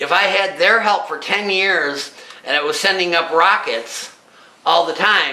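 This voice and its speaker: In a room with audible echo and noticeable background noise, a man projects his high-pitched voice at a fairly slow pace. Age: 60s. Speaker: amateur artist and inventor. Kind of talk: casual presentation of own artwork. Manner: halting.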